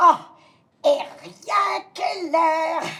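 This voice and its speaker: A woman uses a put-on character voice that is raspy and extremely high-pitched, with fairly even intonation. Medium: stage play.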